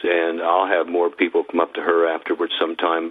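Noticeable background noise runs under a man speaking fairly quickly in an American accent. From US, Idaho. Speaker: former music executive and author. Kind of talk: interview.

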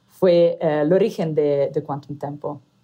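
With an Italian accent, a woman speaks at a fairly slow pace in a dark, mellow tone. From Italy. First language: Italian (speaking Spanish). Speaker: startup founder and CEO. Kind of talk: interview. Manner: halting, many fillers.

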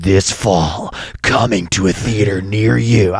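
A man speaks in a put-on character voice. It is fairly low in pitch and moves at a fairly slow pace. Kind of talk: dramatic, announcer. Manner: dramatic.

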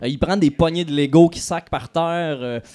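In a plain, everyday voice, a man speaks at a fairly slow pace and a fairly high pitch with ordinary pitch variation. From Quebec, Lanaudière. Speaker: podcast host. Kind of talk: live podcast recording. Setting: stage with audience at festival.

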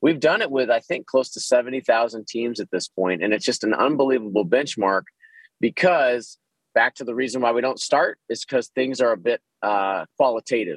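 In a plain, everyday voice, a man with an American accent speaks at a medium pitch and moderate pace with ordinary pitch variation, the sound dry and close with no echo. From Texas, Dallas. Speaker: organizational consultant. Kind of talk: interview.

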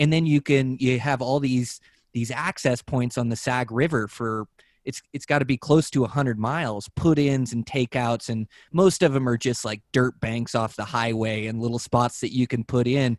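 A normal speaking voice from a man at medium pitch and moderate pace, fairly even intonation, on a very clean recording with a silent background and a dry, close sound with no echo. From Western Washington. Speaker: podcast host and angler. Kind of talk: casual chat.

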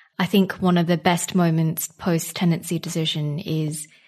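Fairly slow speech against a quiet background. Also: woman. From Singapore. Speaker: barrister. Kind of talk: interview.

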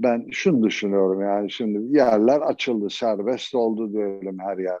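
Delivery is very slow. The tone is dark and mellow. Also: man. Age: 70s. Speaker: musician. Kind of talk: interview.

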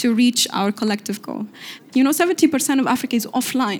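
In an Arabic accent, a woman with a high pitch speaks very fast. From Tunisia. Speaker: youth envoy and activist. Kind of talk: onstage interview.

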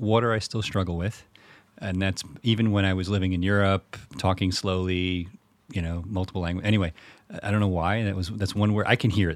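In an American accent, a man speaks with a very deep, low pitch and fairly even intonation. He talks at a fairly quick pace on a very clean recording with a silent background. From New York, the Bronx. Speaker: crypto company CEO. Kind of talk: interview. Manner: fast.

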